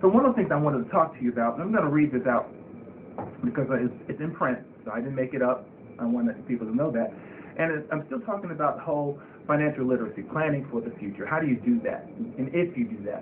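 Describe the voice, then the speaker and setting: A fairly high-pitched man at a very fast pace, with very wide pitch swings and noticeable background noise. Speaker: financial planning show host. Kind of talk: solo monologue, informal financial talk. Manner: halting, with frequent fillers.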